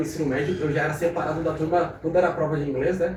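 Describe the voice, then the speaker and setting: Over noticeable background noise and audible room echo, a man speaks very fast in a fairly high pitch with monotone, flat intonation. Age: 20s. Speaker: young entrepreneur. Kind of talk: podcast interview. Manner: casual, conversational.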